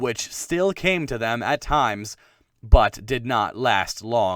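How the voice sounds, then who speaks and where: A man at a medium pitch talks in an unremarkable speaking voice. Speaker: audiobook narrator. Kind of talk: dramatic audiobook narration.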